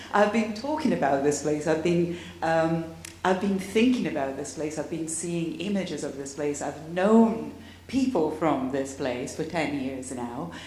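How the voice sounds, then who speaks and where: Her pitch is very deep and low for a woman. She talks at a fairly slow pace with audible room echo. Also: lively intonation. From Tuscany, Italy (Cortona). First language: Italian. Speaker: academic panelist. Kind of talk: panel discussion.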